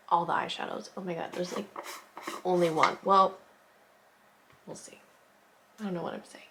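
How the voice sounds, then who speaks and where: At a fairly quick pace but with long, frequent pauses, a woman speaks at a fairly low pitch with fairly even intonation over noticeable background noise. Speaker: makeup artist youtuber. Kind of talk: makeup tutorial. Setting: at home. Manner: soft-spoken; casual, filler-heavy.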